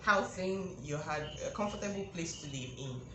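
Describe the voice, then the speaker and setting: Noticeable background noise and audible room echo accompany a woman whose pitch varies in an ordinary way. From Nigeria. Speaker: youtuber and life insurance agent. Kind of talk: vlog commentary. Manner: animated.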